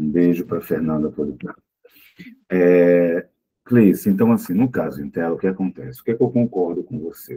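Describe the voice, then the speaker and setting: Very deep and low in pitch, this man's voice has a dark, mellow tone. He speaks at a moderate pace with lively intonation. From Pernambuco, Brazil (born in Olinda). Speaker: psychologist and lecturer. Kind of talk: talk with audience questions. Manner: hesitant, many fillers.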